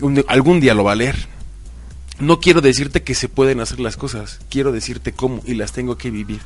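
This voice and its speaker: With music behind him, a man talks at a moderate pace. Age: 30s. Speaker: motivational speaker. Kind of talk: interview. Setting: studio.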